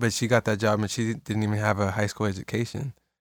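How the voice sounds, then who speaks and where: A man with an American accent in a monotone, flat delivery, on a very clean recording with a silent background. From California, Salinas area. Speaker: barber. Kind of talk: casual chat.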